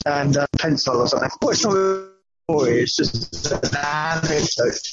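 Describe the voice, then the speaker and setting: A man's fairly high voice at very even loudness, with music in the background. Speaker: podcast host calling in. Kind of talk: casual chat. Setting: phone call from a bus. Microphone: bad reception, wearing a mask.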